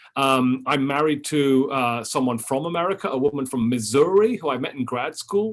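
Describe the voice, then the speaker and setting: This man speaks with a British accent and a fairly high pitch. He uses hardly any pauses. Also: ordinary pitch variation, moderate pace. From London, England. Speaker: history professor and author. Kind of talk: lecture. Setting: Zoom webinar from office. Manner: halting, many fillers.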